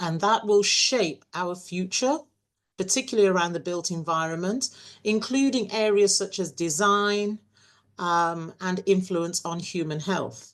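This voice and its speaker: With an English accent, a woman speaks at a fairly slow pace in a medium pitch, showing ordinary pitch variation. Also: quiet background. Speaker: university webinar moderator. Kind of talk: webinar introduction. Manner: hesitant, many fillers.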